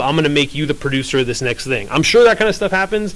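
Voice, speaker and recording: This man's voice sits at a fairly high pitch. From US West Coast, San Francisco (moved from Ukraine at four). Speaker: panel speaker, media producer. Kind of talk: panel talk. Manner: casual, filler-heavy.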